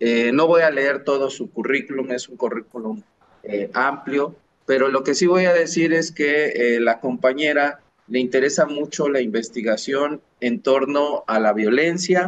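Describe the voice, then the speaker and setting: With a normal speaking voice, a man talks at a fairly slow pace, his pitch fairly high with ordinary variation. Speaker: podcast co-host, sociologist. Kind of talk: casual chat.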